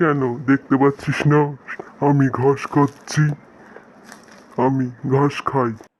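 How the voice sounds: This cartoonish character voice belongs to a man with a fairly high pitch, speaking at a fairly slow pace in a monotone, flat intonation.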